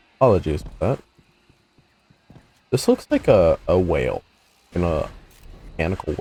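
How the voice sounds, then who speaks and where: A man at a moderate pace, leaving long, frequent pauses. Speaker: gaming streamer. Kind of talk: gameplay commentary. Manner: casual, halting with fillers.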